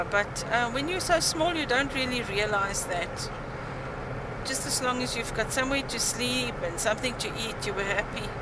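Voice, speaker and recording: A woman speaking at a moderate pace over loud background noise. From South Africa (Germiston, Gauteng). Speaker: former teacher, church youth choir leader. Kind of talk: interview answer. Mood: reflective, recalling memories. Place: home room.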